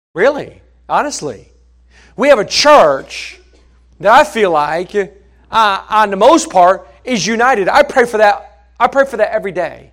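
A man's high-pitched voice at a fairly slow pace, with very wide pitch swings, in a very clean recording with a silent background. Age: 50s. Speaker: pastor. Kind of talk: sermon. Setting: church. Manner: halting.

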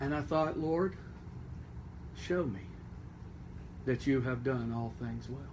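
Somewhat breathy, a man talks at a very slow pace with long, frequent pauses as room echo is audible. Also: medium pitch for a man, ordinary pitch variation. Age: 40s. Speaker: pastor. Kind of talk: sermon.

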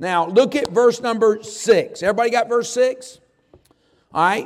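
A man with a high-pitched voice and ordinary pitch variation is heard with audible room echo around him. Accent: Southern US. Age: 60s. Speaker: pastor. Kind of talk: sermon. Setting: church chapel service.

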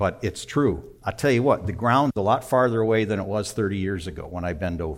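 A normal speaking voice from a man, fairly low in pitch, with lively intonation at a moderate pace. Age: 60s. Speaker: pastor. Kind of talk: sermon. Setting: church.

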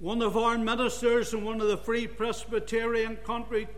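A man speaks at a moderate pace with noticeable background noise around him. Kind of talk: sermon. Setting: church. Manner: fervent, earnest preaching delivery with reverent, emphatic rhythm.

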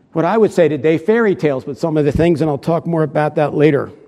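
A man's fairly high voice in an American accent, dark and mellow in tone, with lively intonation. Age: 70s. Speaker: visiting preacher. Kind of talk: sermon.

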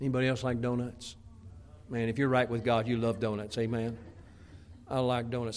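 A medium-pitched male voice. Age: 60s. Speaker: pastor. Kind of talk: sermon. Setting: church.

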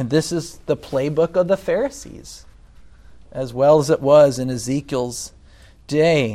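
Long, frequent pauses break up this man's speech in an American accent. His fairly high pitch has a dark, mellow tone and ordinary pitch variation. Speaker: pastor. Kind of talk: sermon.

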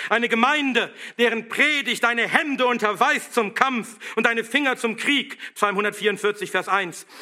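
A man speaks at a fairly slow pace with an extremely high pitch. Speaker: pastor. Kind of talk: sermon, fiery and combative, rallying the congregation to stand firm. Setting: church. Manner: forceful, emphatic, exhorting; rousing, militant, driving rhetorical questions.

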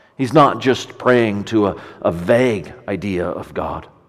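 Room echo is audible as a man talks at a fairly slow pace. His intonation is lively. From Canada, Ontario. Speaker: pastor. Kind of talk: sermon. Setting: church.

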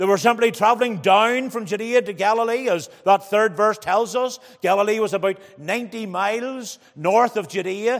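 At a fairly quick pace and with hardly any pauses, a man talks in a high pitch with ordinary pitch variation. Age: 40s. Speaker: preacher. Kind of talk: sermon. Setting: church.

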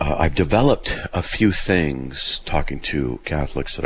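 Moderate pace and ordinary pitch variation amid noticeable background noise. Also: man. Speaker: radio host. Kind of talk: call-in radio show. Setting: studio.

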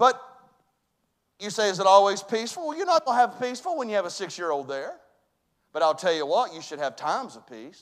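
A man with a Southern US accent speaks at a fairly quick pace with a high pitch and very wide pitch swings. His loudness swings widely, and his pauses are long and frequent. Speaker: pastor. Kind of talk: sermon. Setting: church.

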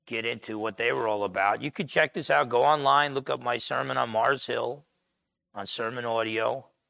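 A man speaks loudly at medium pitch with vocal fry, at a moderate pace. The recording is very clean, with a silent background. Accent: New Jersey. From US Northeast, Essex County, New Jersey. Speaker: pastor. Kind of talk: sermon. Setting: church.

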